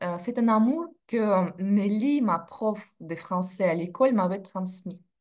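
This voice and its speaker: At a very slow pace, a woman speaks with a medium pitch and lively intonation. The background is quiet. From Russia (Sverdlovsk region, USSR). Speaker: in-house legal director. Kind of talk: interview, casual chat. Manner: hesitant with fillers.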